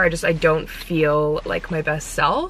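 The woman's fairly low voice has monotone, flat intonation. The sound is dry with no echo, over light background noise. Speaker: lifestyle vlogger. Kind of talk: casual vlog chat. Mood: slightly frustrated about hair. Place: car. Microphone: phone near.

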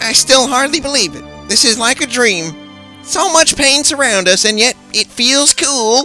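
Over clear background music, a man does a put-on character voice at an extremely high pitch and a moderate pace. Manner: breathless, giddy.

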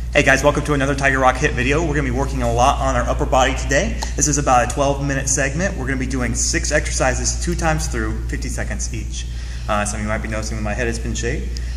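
Over background music, the speaker races along very fast in a monotone, flat delivery. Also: man, very deep, low pitch for a man, hardly any pauses. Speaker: fitness instructor. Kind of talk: tutorial. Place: gym. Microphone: camera far.

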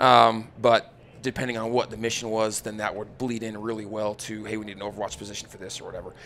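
With an American accent, a man with a fairly low pitch speaks at a very fast pace over light background noise. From Utah, south of Salt Lake City. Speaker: firearms instructor, former special forces soldier. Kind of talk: casual interview chat. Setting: live at a hunting expo. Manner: energetic, animated. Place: studio. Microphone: studio mic.

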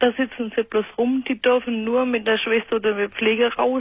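A woman speaks at a moderate pace in a fairly high pitch. The sound is dry with no echo, and the background is quiet. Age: 40s. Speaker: caller with panic disorder; radio caller. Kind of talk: phone-in call. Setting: phone call. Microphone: phone line.

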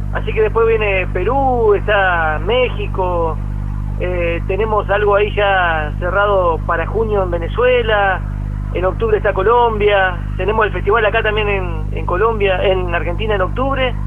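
Light background noise sits behind a man speaking at a fairly slow pace. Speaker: radio guest. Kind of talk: interview answer. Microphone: phone line.

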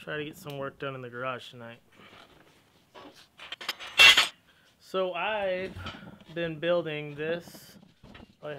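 Noticeable background noise runs under this man's voice. He talks at a fairly slow pace with ordinary pitch variation and long, frequent pauses. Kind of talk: casual vlog chat. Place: garage. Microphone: phone near.

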